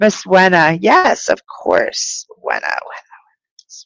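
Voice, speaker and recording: The sound is dry and close, free of echo. Here a woman talks in an American accent. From US (New Mexico and Virginia). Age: 50s. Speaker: spiritual medium. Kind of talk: live stream reading. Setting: live broadcast on video.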